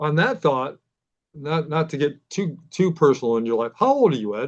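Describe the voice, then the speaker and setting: In an American accent, a man with an unremarkable speaking voice talks at a moderate pace, fairly high in pitch and with lively intonation. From Pennsylvania. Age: 60s. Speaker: podcast host. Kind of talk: interview.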